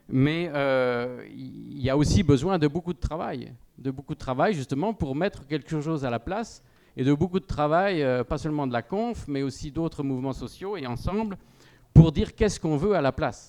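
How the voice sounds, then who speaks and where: A man talks at a moderate pace with a fairly high pitch. His tone is dark and mellow, with ordinary pitch variation. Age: 60s. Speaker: panel speaker at a farmers' union debate. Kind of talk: panel discussion. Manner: hesitant, many fillers.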